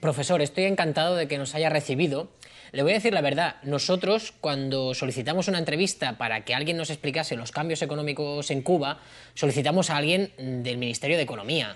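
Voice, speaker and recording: Pitched fairly high with ordinary variation, a male voice moves along at a fairly quick pace. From Spain. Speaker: interviewer. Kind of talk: interview. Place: home room.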